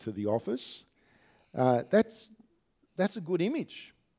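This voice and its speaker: At a moderate pace, a man with an Australian accent speaks on a very clean recording with a silent background. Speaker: pastor. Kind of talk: sermon. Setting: church.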